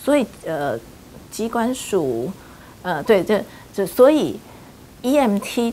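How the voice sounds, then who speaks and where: Light background noise sits under a woman speaking with lively intonation. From Taiwan. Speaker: HIV rights advocacy group leader; interviewee. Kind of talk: interview. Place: home room.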